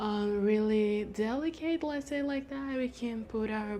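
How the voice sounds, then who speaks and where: A woman speaks in a dark, mellow tone. She has a Brazilian Portuguese accent and ordinary pitch variation. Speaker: lifestyle vlogger. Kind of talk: casual chat. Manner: halting.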